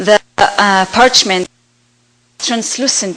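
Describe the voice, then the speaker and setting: A woman speaks with an Israeli accent. Her pitch shows ordinary variation. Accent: Hebrew. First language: Hebrew. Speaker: artist. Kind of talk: slideshow presentation. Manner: halting, many fillers.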